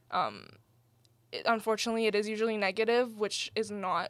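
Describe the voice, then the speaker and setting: On a very clean recording with a silent background, a woman with a Canadian accent and a fairly high pitch speaks at a moderate pace. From Canada, Iranian family. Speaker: student writer. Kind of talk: interview. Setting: studio.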